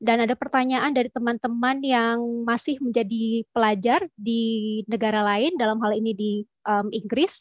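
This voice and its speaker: In an unremarkable speaking voice, a woman talks at a moderate pace with fairly even intonation, the sound dry with no echo over a quiet background. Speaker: tax official; presenter. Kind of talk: webinar presentation. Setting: video call. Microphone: video call.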